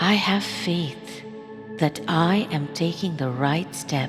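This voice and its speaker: Over music in the background, a woman speaks very slowly in a soothing, calm tone with a very deep, low pitch. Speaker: voice-over narrator. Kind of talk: guided affirmation meditation. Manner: soothing, calm, slow.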